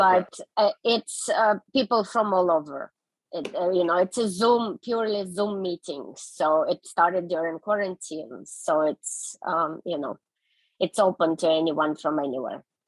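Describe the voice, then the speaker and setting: A woman's medium-pitched voice in a Russian accent, fairly slow and with ordinary pitch variation, in a dry, close sound with no echo. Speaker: interpreter. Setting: video call.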